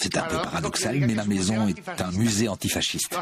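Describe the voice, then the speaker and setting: A man speaks at a moderate pace with a fairly low pitch. Noticeable background noise is present. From Spain. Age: 80s. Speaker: antifascist writer and collector. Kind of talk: documentary interview.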